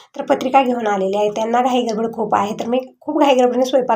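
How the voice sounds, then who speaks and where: Noticeable background noise sits behind a woman's voice. She has a high pitch and fairly even intonation. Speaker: home vlogger. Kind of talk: casual vlog narration.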